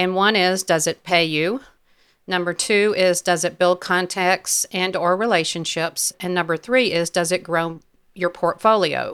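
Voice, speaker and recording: In a very clean recording with a silent background, a woman speaks in a normal speaking voice at medium pitch, with fairly even intonation and a fairly slow pace. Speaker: photographer and podcast host. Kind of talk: casual chat.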